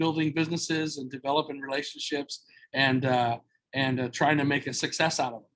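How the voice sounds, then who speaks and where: A man with an American accent at a moderate pace and fairly even intonation. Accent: loud American-style. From Southern California, Mexican-American family. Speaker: entrepreneur, former radio worker. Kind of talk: podcast interview. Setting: video call. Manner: loud.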